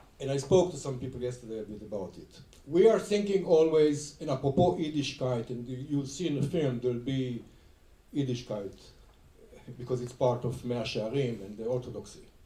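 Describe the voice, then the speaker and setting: A man speaks at medium pitch and a fairly quick pace, his intonation lively. Room echo is audible. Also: big swings in loudness. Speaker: film director. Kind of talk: onstage film introduction conversation. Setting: stage with audience.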